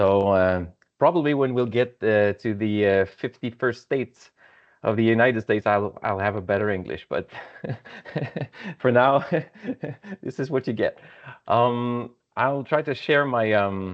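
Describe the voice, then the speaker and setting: Speaking with a Quebec accent, a man talks fairly slowly at a medium pitch with ordinary pitch variation and long, frequent pauses. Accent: French-Canadian accent in English. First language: French. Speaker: engineer, association president. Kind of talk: webinar presentation. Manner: halting, many fillers.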